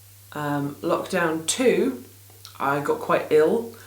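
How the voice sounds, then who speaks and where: Talking very slowly with an English accent, a woman's fairly low voice comes through with audible room echo and noticeable background noise. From England. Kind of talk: casual vlog chat. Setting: small home studio in garden. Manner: rambling, hesitant with many ums.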